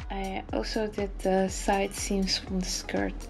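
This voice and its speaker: The delivery runs at a fairly slow tempo, with music playing in the background. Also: woman. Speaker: sewing hobbyist. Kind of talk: tutorial voice-over.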